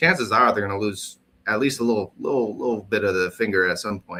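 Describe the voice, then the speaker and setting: This man, with a Midwestern accent, talks at a fairly quick clip in a medium-pitched voice with a bright, sharp tone. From US Midwest. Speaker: podcast co-host. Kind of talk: casual chat.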